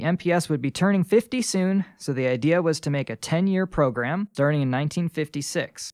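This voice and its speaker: A man with an American accent and an ordinary speaking voice talks at a fairly quick pace with lively intonation, in a very clean recording with a silent background and a dry, close sound with no echo. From New York State, Rochester. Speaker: park ranger. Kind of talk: casual educational interview. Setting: makeshift studio.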